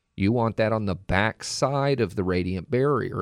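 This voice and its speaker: A man with an American accent and a fairly low pitch, lively intonation, a moderate pace and an unremarkable speaking voice. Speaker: radiant barrier contractor. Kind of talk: call-in radio show. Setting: radio studio.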